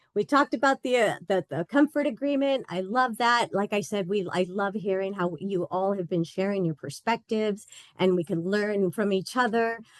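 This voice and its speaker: Heard in a dry, close sound with no echo, a woman with a medium pitch talks at a moderate pace with ordinary pitch variation. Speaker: instructor. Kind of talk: online lecture. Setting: video call. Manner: animated.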